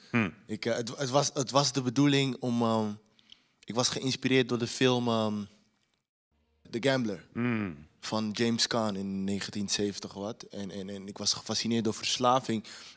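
Over a quiet background, a man speaks fairly slowly at a medium pitch with ordinary pitch variation. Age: young. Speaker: filmmaker and actor; actor. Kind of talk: panel interview. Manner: halting. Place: hall. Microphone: handheld.

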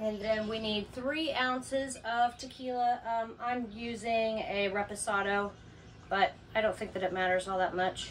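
Over light background noise, a woman speaks at a fairly slow pace with fairly even intonation. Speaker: RV camper hosting a cocktail segment. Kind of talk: tutorial. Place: home room. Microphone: camera far.

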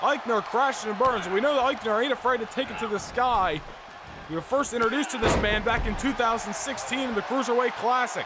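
Raised and projected, a man's extremely high-pitched voice carries an animated tone over noticeable background noise. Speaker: wrestling game commentator. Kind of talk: live wrestling commentary. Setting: gaming video voiceover. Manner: animated, fast, hyped play-by-play; excited, announcer-style delivery.

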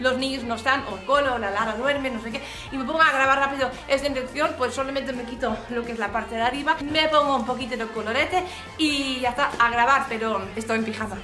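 A woman speaks very fast in a raised, projected voice with fairly even intonation, with audible room echo and faint music in the background. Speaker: craft youtuber. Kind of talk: casual vlog chat. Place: home room.

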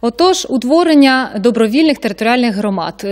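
A woman talks in a normal speaking voice at a fairly high pitch. Her pace is fairly quick, and the background is quiet. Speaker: TV host. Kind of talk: live TV talk show. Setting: studio. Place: studio. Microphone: studio mic.

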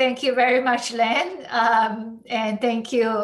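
A woman talks at a very slow pace. Her intonation stays fairly even. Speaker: semiconductor researcher; speaker. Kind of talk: academic talk.

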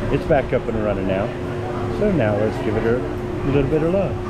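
A man is speaking. Loud noise fills the background. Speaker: theme park vlogger. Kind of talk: casual vlog chat. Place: stage. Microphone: phone near.

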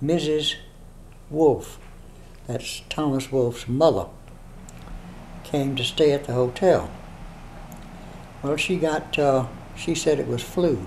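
A man with a fairly high pitch and fairly even intonation speaks very slowly, with long, frequent pauses and light background noise. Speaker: interviewee recounting literary history. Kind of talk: interview answer. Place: home room.

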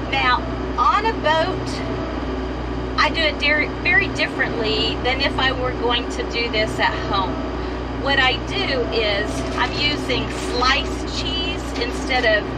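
Loud background noise fills the clip. A woman talks very slowly with long, frequent pauses. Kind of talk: casual cooking tutorial. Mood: relaxed, chatty. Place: kitchen. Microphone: camera far.

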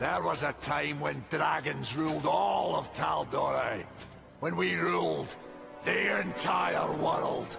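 Clear music plays behind a man doing a put-on character voice. He talks fairly low and at a fairly slow pace. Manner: grandiose, proclamatory.

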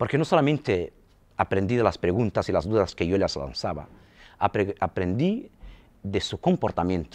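A man's fairly low voice with very wide pitch swings, at a moderate pace against a quiet background. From Saharawi refugee camps; Western Sahara. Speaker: film school director; interviewee. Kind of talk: interview. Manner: halting. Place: empty room. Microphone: lapel.

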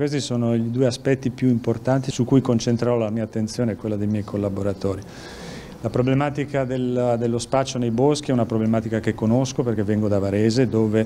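A man talks with fairly even intonation. Noticeable background noise is audible. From Lombardy, Milan. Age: 60s. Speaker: police chief. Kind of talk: news interview. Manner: halting.

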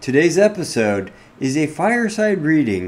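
A man speaks at a fairly slow pace in a playful tone, his pitch swinging very widely. Light background noise sits underneath. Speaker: cybersecurity podcast host. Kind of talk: fireside reading of a Christmas parody poem. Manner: storytelling cadence, rhythmic and playful. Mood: playful, cozy storytelling.

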